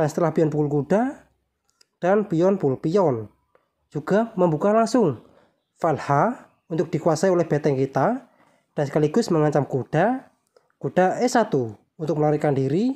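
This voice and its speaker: A woman speaks at a moderate pace and fairly low pitch in a dark, mellow tone, with very wide pitch swings, very even loudness, and long, frequent pauses. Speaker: chess YouTuber. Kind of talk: tutorial. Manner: slightly quieter than usual.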